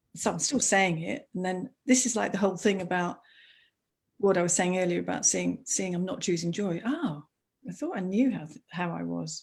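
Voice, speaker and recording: Somewhat breathy, a woman speaks at a moderate pace and medium pitch with lively intonation in a very clean recording with a silent background. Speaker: school teacher and coach. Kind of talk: live video interview.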